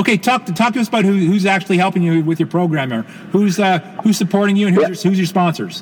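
Against noticeable background noise, a man speaks at a very fast pace with a high pitch and ordinary pitch variation. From Canada. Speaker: podcast host. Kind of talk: interview. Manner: halting, many repetitions and fillers.

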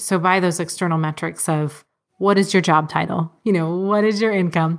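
At a fairly quick pace, this normal speaking voice shows ordinary pitch variation. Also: woman. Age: 30s. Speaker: personal finance blogger and homesteader. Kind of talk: interview.

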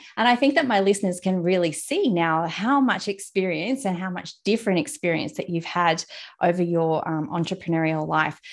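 Against a quiet background, a woman with an Australian accent talks fairly quickly at medium pitch with lively intonation. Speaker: podcast host, content strategist. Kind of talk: casual interview chat. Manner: friendly and smiley.

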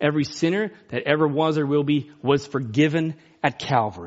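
A man is speaking here. His voice is fairly high in pitch. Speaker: preacher. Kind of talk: sermon. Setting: church. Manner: loud.

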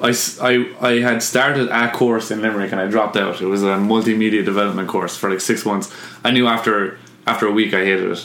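With an Irish accent, the speaker talks at a very fast pace in fairly even intonation, with audible room echo and noticeable background noise. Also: man, fairly low pitch for a man. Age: 20s. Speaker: artist and illustrator. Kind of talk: casual chat.

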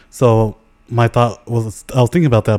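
At a moderate pace, a man with a dark, mellow tone speaks with ordinary pitch variation. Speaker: podcast co-host. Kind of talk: casual chat.

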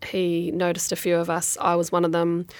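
On a very clean recording with a silent background, a woman with a New Zealand accent speaks at a moderate pace and a fairly low pitch. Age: 40s. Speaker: former rugby player and sports executive. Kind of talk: interview. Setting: studio.

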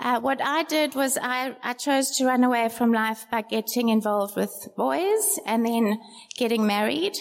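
A woman speaks in a high pitch at a moderate pace, with ordinary pitch variation. Noticeable background noise runs under her voice. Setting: stage with audience. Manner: halting.

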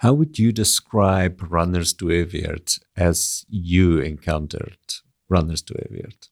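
Dry, close sound with no echo captures a man with a very deep, low pitch speaking at a fairly slow pace with ordinary pitch variation. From South Africa, Afrikaner. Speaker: co-host, academic. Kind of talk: scripted narration; interview conversation.

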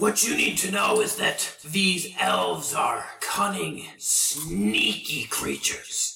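A man does a put-on character voice. He talks at a very slow pace with hardly any pauses. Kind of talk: villainous fantasy voice. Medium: actual play. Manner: proud, archaic and commanding.

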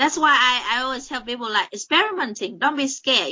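A woman with a high voice speaks in a Vietnamese accent. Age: 20s. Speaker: colorist and illustrator. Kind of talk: interview. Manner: hesitant, many fillers.

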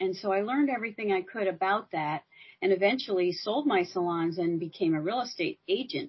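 Lively intonation marks this woman's medium-pitched, somewhat breathy voice. She talks at a fairly quick pace. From US Colorado. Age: 70s. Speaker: entrepreneur and expat. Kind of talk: interview.

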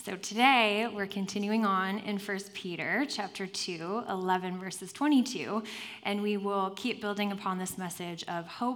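The intonation is fairly even, with audible room echo around the voice. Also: woman. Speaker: guest preacher. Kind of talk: sermon. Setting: church with congregation and headset mic.

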